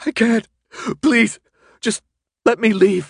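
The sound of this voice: A man uses a put-on character voice, extremely high in pitch, slow and with vocal fry. The sound is dry and close with no echo, in a very clean recording with a silent background. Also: ordinary pitch variation.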